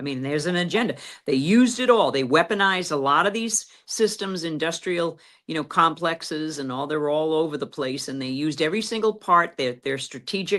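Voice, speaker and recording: A woman's fairly low voice, fairly quick and with lively intonation. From USA. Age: 60s. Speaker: activist. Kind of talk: interview. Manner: halting.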